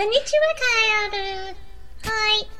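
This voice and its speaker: An extremely high-pitched, put-on character voice sounds playful. Noticeable background noise runs underneath. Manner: cutesy, playful.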